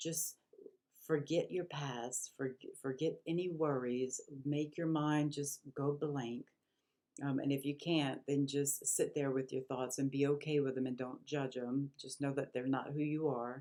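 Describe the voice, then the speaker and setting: A woman speaks at a fairly slow pace in a very deep, low voice with a dark, mellow tone and flat, monotone intonation. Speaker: spiritual vlogger. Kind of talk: casual talk to camera. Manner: halting, many fillers.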